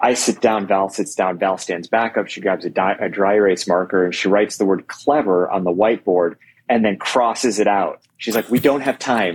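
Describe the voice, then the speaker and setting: This man has a normal speaking voice, fairly low in pitch with ordinary pitch variation, moving at a moderate pace with hardly any pauses. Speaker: podcast host. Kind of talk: casual interview chat.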